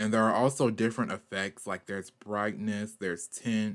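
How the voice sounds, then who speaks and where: A man with a Southern US accent speaks at a fairly low pitch with fairly even intonation. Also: very clean recording, silent background. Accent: southern US country. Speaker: artist and animator streamer. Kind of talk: art stream tutorial. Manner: casual, filler-heavy.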